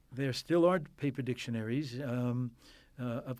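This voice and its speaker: A man with an American accent at a medium pitch, fairly even intonation and a moderate pace, on a very clean recording with a silent background. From Queens, New York. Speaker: linguist and university professor. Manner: hesitant, filler-heavy, academic.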